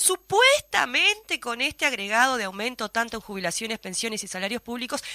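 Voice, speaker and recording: In a Uruguayan accent, a raised, projected voice with a bright, sharp tone makes very wide pitch swings, recorded with a dry, close sound and no echo. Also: woman. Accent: Uruguayan Spanish (Rioplatense). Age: 40s. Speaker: radio host. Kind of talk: news discussion. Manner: fast.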